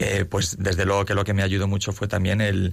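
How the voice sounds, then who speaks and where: A man talks in a very deep, low pitch with a somewhat breathy sound. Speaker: army officer. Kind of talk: interview. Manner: halting, many repetitions.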